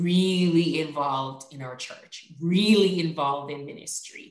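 A woman talks at a fairly slow pace with ordinary pitch variation. Audible room echo is present. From Jamaica. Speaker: education official and author. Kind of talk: interview on a faith podcast.

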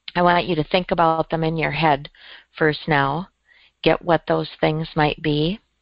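A woman talks at a fairly slow pace in a very deep, low pitch. Her tone is soothing and calm, her intonation flat and monotone. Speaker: meditation guide. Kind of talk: guided meditation. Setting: group call. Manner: slow, soothing, calm and gentle pacing; instructive, with pauses.

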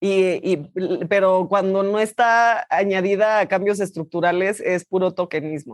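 A woman's medium-pitched voice at a very slow pace against a quiet background. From Mexico. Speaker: actress. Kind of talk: interview. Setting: remote video call.

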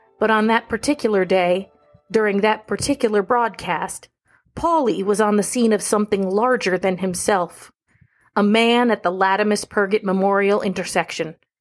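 An unremarkable speaking voice belongs to a woman of medium pitch with ordinary pitch variation and a moderate pace. The recording is very clean, with a silent background. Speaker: radio news reporter. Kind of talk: noir true-crime radio narration, scripted and tongue-in-cheek.

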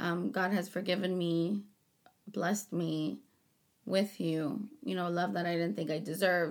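Using a plain, everyday voice, a woman with an American accent speaks at a fairly low pitch and a fairly slow pace with ordinary pitch variation. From Rio Grande Valley, Texas. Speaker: host's wife, small business owner. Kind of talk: casual chat.

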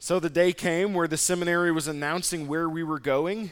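This man has an ordinary speaking voice, with an American accent, a fairly high pitch and a moderate pace. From Nebraska. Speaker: pastor. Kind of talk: sermon.

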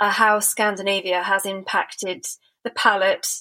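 A woman's bright, sharp voice with a British accent, fairly high in pitch, at a moderate pace. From Britain. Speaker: podcast host and gallerist. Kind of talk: interview conversation. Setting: remote call.

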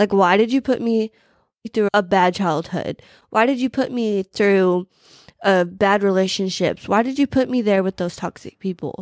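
An ordinary speaking voice at a moderate pace with ordinary pitch variation, in a very clean recording with a silent background and a dry, close sound with no echo. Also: woman, medium pitch for a woman. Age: 20s. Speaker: faith podcast host. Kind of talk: personal testimony. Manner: casual, filler-heavy.

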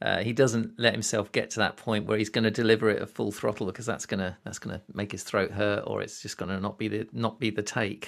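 A fairly low-pitched man with a British accent rushes along very fast with hardly any pauses and flat, monotone intonation, on a very clean recording with a silent background. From Britain. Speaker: podcast host. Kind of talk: casual interview.

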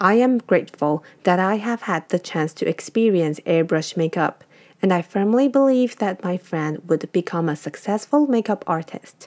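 A woman with a Chinese accent talks with lively intonation and hardly any pauses, the sound dry and close with no echo. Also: medium pitch for a woman, moderate pace. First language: Mandarin Chinese. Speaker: podcast host. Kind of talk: scripted narration.

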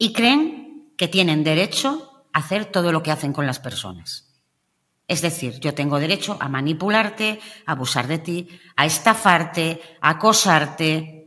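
With an ordinary speaking voice, a woman talks fairly slowly at a fairly low pitch, her intonation lively. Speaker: emotional coach, narcissism expert. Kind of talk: interview conversation.

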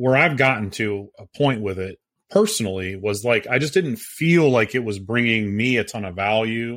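This man has a normal speaking voice and an American accent, at a medium pitch with ordinary pitch variation. He keeps a moderate pace on a very clean recording with a silent background. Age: 40s. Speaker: podcast co-host, real estate agent and investor. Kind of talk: casual chat.

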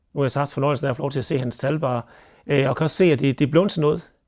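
A man speaks in a fairly high voice with ordinary pitch variation. The recording is very clean, its background silent. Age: 40s. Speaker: dairy farmer and agricultural board chair. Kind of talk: interview commentary.

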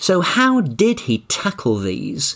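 The recording is very clean, and the background is silent. The speaker is a man. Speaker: podcast host and communication coach. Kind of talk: interview-style podcast with scripted narration.

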